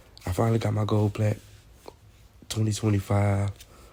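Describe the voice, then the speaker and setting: Fairly low in pitch, a man talks at a fairly quick pace with a dark, mellow tone. His voice is somewhat breathy. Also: long, frequent pauses. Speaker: rapper. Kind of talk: casual vlog narration over photos. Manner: soft, gentle.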